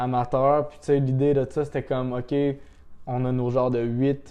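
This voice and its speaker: His voice sits at a medium pitch, and the man's intonation is monotone and flat. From Quebec, Laurentians. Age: 30s. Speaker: snowboarder and sales rep. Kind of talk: casual chat.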